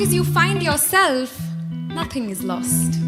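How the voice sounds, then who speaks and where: A woman talks at a fairly slow pace. Music sounds behind her. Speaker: spoken word poet. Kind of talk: spoken word poetry performance. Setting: live stage.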